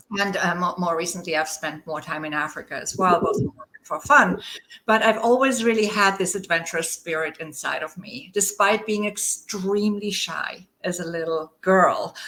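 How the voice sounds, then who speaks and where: A woman with a German accent and medium pitch speaks at a moderate pace with hardly any pauses, ordinary pitch variation and big swings in loudness. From rural Germany. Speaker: leadership coach. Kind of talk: interview.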